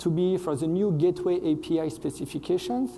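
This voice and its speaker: With a French accent, a man speaks in a fairly high pitch with a dark, mellow tone. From France. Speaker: software engineer, conference speaker. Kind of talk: conference talk. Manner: hesitant, frequent fillers.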